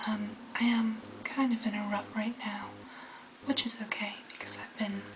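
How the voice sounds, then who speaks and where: Over noticeable background noise, a woman speaks at a moderate pace with a fairly high pitch and monotone, flat intonation. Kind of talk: casual talk to camera. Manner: soft-spoken.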